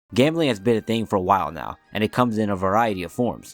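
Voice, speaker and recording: Music plays in the background as a man talks at a very fast pace. His pitch varies in an ordinary way. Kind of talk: casual commentary video. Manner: casual, slangy.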